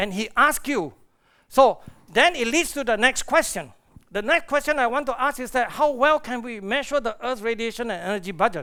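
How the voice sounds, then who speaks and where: Raising and projecting his voice, a man talks at a fairly quick pace in an extremely high pitch, with a bright, sharp, animated tone and lively intonation. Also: very clean recording, silent background. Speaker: astrophysicist. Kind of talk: conference lecture. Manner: fast.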